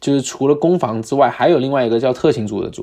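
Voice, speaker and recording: A man with a Cantonese accent speaks in a medium pitch with a dark, mellow tone. His pitch variation is ordinary, over a quiet background. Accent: Cantonese-accented Mandarin. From Guangdong, China (Harbin parents). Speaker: American football player. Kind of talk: casual chat.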